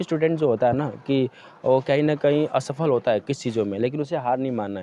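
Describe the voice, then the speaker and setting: Here a man speaks in a dark, mellow tone. He keeps a fairly quick pace, and his pitch varies in an ordinary way. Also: medium pitch for a man. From eastern Uttar Pradesh, Ghazipur. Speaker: quiz show winner. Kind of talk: interview.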